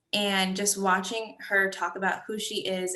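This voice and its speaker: In an American accent, a woman speaks at a medium pitch with a bright, sharp tone. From US, Liberian American family. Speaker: student exhibitor. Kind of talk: panel discussion.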